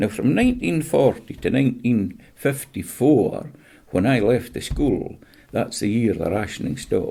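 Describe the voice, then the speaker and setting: Speaking with a West Highland Scottish accent, a man uses a medium pitch and a dark, mellow, somewhat breathy tone, with lively intonation at a moderate pace. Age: 70s. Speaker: interviewee, retired fisherman. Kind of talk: casual chat.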